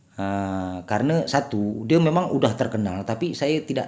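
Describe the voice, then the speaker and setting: Speaking at a moderate pace, a man has a dark, mellow tone and medium pitch. He has a slight Batak accent. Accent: slightly Batak-tinged Indonesian. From Sumatra, Indonesia. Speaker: vlogger. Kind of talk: casual vlog chat. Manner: hesitant, filler-heavy.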